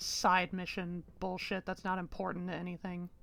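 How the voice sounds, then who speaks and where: Over music in the background, a woman with an American accent speaks at a fairly slow pace in a medium pitch. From United States. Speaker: video game streamer. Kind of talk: live gameplay stream chat. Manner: casual, halting with repeats.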